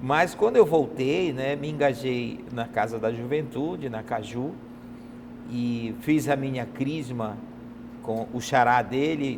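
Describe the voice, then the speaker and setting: A man speaks very slowly at a medium pitch, with noticeable background noise behind him. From Brazil, Pará (Belém). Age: 50s. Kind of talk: interview testimony.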